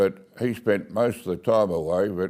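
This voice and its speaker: A man with an Australian accent, very deep and low in pitch, dark and mellow in tone, with fairly even intonation. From Australia, Bowral, New South Wales. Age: 80s+. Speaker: local elder telling his life story. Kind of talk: oral history interview.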